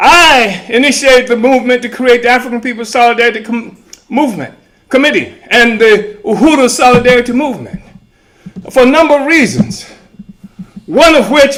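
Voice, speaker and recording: A man's extremely high voice at a moderate pace, with ordinary pitch variation. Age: 80s+. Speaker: movement founder and political leader. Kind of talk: convention speech. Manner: impassioned.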